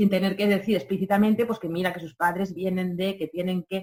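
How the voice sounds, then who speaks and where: A woman talks at a fairly quick pace in a somewhat breathy, fairly low voice. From Catalonia. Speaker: radio program director. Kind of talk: interview. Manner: halting, with many fillers and repetitions.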